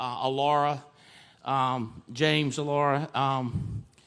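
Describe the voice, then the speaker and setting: With an energetic tone, a man speaks at a fairly high pitch. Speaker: CEO and motivational speaker. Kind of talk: high-energy motivational stage talk. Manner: energetic, emphatic, conversational.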